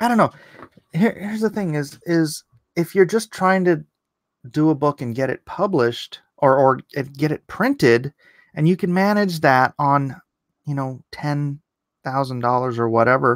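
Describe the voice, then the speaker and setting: In a quiet background, a man talks at a fairly slow pace. His pitch is fairly high. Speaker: YouTube political commentary host and comic artist. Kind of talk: live-stream commentary. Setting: live stream. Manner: animated. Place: home room. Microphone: studio mic.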